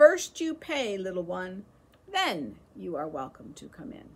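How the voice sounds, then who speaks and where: In a put-on character voice, the speaker goes at a fairly slow pace with big swings in loudness. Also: woman, medium pitch for a woman. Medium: read story. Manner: shrill, mocking.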